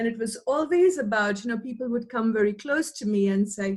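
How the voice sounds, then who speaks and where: Fairly high and somewhat breathy, a woman's voice carries ordinary pitch variation. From India, Mumbai. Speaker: academic researcher. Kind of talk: interview.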